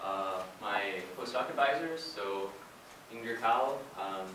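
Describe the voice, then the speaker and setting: Audible room echo and noticeable background noise surround a man's fairly low voice, which shows ordinary pitch variation. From Hawaii. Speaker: physics researcher. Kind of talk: lecture. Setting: colloquium talk.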